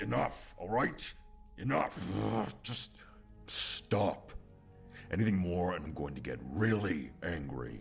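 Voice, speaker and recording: Over clear background music, a man puts on a character voice, very deep and low, speaking at a fairly slow pace. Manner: angry, irritated.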